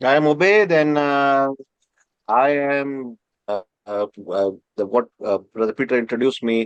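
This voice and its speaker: Using lively intonation and long, frequent pauses, a man with an Indian accent is heard in a dry, close sound with no echo. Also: medium pitch for a man, moderate pace. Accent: Indian (Marathi) English. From India, Maharashtra. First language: Marathi. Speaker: professor. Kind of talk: interview. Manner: halting, many fillers.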